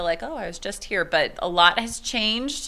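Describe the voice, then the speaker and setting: A woman speaks in a bright, sharp tone. Her pace is fairly quick. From Texas. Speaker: teacher. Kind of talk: interview. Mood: warm, upbeat. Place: classroom. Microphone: handheld.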